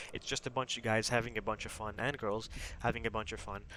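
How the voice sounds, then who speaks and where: Soft-spoken, a man talks at a very fast pace. His tone is bright and sharp, his intonation fairly even. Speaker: gaming YouTuber and corporation leader. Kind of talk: casual promotional explainer. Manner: quiet, talking softly late at night; many fillers like um and uh.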